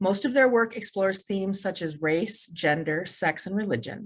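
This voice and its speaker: A woman with a plain, everyday voice speaks at a moderate pace and medium pitch. Her intonation is lively, and the background is quiet. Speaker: library event host. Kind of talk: event introduction.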